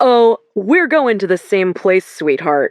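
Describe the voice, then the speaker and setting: Someone doing a put-on character voice that sounds female speaks at a fairly slow pace in a middle pitch. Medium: read story. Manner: casual, cocky.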